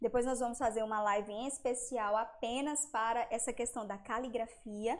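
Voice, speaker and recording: A woman speaks at a moderate pace with a fairly high pitch and fairly even intonation. Hers is a normal speaking voice. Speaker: educator presenting homeschool materials. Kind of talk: live stream lecture. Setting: live stream. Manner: warm, conversational.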